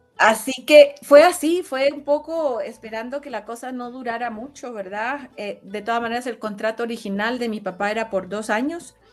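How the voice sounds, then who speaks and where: Against noticeable background noise, a woman speaks at a moderate pace in a fairly high voice. Her loudness swings widely while her pitch varies in an ordinary way. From Chile. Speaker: interview guest. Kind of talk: casual interview. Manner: hesitant, many fillers.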